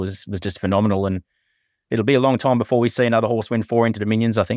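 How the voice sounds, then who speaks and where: With an Australian accent, a man talks at a very fast pace, his fairly low pitch held to a fairly even intonation. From country Victoria, Australia. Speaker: professional punter. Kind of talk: casual chat.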